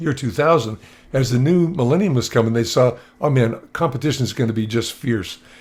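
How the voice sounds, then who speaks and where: An animated man talks at a fairly quick pace with a medium pitch. His voice is somewhat breathy and shows ordinary pitch variation. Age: 60s. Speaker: motivational speaker. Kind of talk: presentation on video call. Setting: video call with screen share. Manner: casual, animated.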